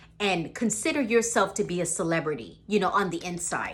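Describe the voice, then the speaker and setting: Lively intonation runs through this woman's speech in a Caribbean accent. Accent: Caribbean island. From Caribbean islands. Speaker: motivational vlogger. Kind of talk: motivational talk to camera. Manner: casual, many fillers.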